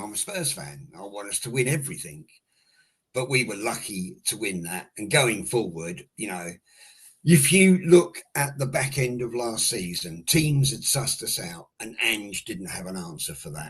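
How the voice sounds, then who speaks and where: At a moderate pace, the voice is somewhat breathy and moves through very wide pitch swings. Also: man, big swings in loudness. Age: 60s. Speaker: football fan caller. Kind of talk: heated debate.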